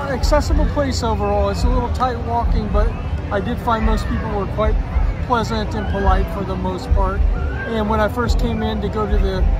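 Clear music sits in the background. The speech moves at a fairly quick pace, with a dry sound and no echo. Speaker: vlogger. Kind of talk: casual vlog chat. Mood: cheerful, relaxed. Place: street. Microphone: phone near.

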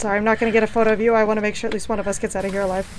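The speaker is a woman with fairly even intonation. There is light background noise. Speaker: game streamer. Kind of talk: casual gaming chat. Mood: playful, laughing. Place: home room.

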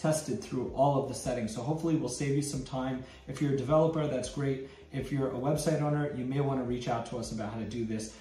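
Talking at a fairly quick pace with ordinary pitch variation, a man is heard over audible room echo. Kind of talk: tutorial intro. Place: office.

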